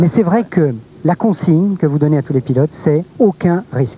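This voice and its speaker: A high-pitched man talks fairly quickly, his pitch varying in an ordinary way, with noticeable background noise behind him. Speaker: TV presenter. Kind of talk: live TV presentation. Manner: fast.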